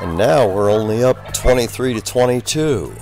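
A man speaks in a dry sound with no echo while clear music plays in the background. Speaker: team-side narrator. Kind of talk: commentary.

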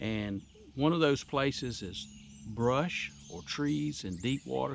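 A man speaks with a dry sound and no echo, over light background noise. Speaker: fishing channel host. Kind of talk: tutorial. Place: boat. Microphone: phone near.

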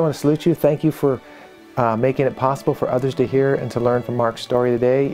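A man talks with faint music in the background. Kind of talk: program introduction to camera. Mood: warm, grateful. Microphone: lapel.

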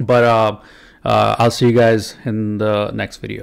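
A man talks against a quiet background. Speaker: vlogger. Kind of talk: casual vlog chat. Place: home room. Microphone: studio mic.

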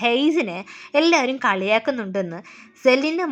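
Here is a woman with a plain, everyday voice and lively intonation. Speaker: movie recap narrator. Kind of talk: scripted narration.

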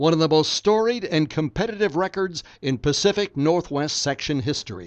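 Against a quiet background, a man uses a normal speaking voice, fairly high in pitch, with lively intonation. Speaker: voiceover narrator. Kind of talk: hall of fame tribute voiceover, scripted narration. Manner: formal, steady and polished, reverent with light humor.

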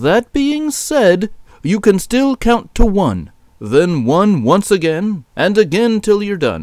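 Putting on a character voice, a man speaks slowly in a high pitch with big pitch swings and a slightly mellow tone.

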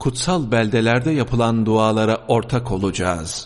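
This man talks at a fairly slow pace in a medium pitch, a plain, everyday voice. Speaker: religious sermon reader. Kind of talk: mosque sermon (khutbah) reading. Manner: formal, measured sermon delivery.

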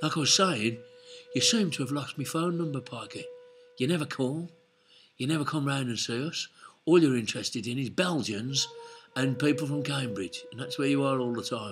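Clear music plays behind a man who talks at a moderate pace with ordinary pitch variation and long, frequent pauses. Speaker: host of a casual webcam chat. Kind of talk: casual vlog chat. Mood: joking, teasing. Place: home room. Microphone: webcam.

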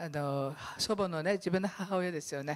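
Against a quiet background, a woman talks at a fairly slow pace with ordinary pitch variation. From Okinawa, Miyako Island; Okinawa. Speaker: pastor. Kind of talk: sermon. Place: church. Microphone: handheld.

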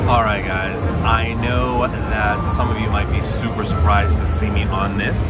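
A man talks fairly slowly while loud music fills the background. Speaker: slot play vlogger. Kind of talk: casual vlog chat. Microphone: phone near.

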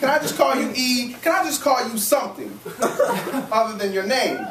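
With an American accent, a man talks over noticeable background noise. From US Midwest. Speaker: spoken word poet. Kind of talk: live spoken word poem at an open mic, autobiographical narrative verse. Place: stage. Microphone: camera far.

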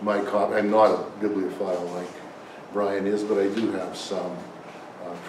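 There is noticeable background noise. The speaker talks at a fairly slow pace. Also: man. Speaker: conference panelist. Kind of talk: lecture. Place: meeting room.

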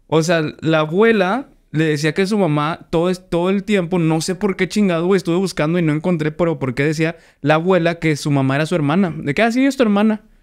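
A man speaks with a Mexican accent at a fairly quick pace, his pitch high and its variation ordinary. The background is quiet. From Mexico. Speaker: podcast host. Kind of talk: casual chat. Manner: animated. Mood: relaxed, joking. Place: studio. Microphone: studio mic.

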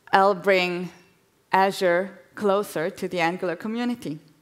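Over a quiet background, a woman speaks with ordinary pitch variation. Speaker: guest speaker giving a demo; guest. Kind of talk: live demo on stage. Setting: stage with audience. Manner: hesitant, filler words. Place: stage.

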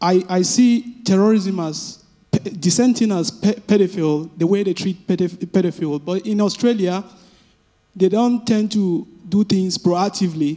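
With an African accent, a man speaks at a high pitch and moderate pace, using a dark, mellow tone and ordinary pitch variation. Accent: African intonation. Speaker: audience member asking a question. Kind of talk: audience Q&A at a panel. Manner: halting, many fillers.

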